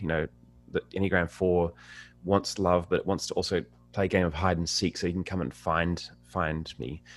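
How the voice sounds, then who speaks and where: This man has a very deep, low pitch and an Australian accent. He speaks at a fairly quick pace. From Australia, inner Sydney. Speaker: singer-songwriter. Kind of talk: interview conversation. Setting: video call.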